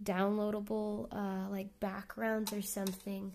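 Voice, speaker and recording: A soft-spoken woman uses a medium pitch with a dark, mellow tone. Her delivery is fairly slow, with monotone, flat intonation. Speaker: artist streamer. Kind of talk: casual live stream chat.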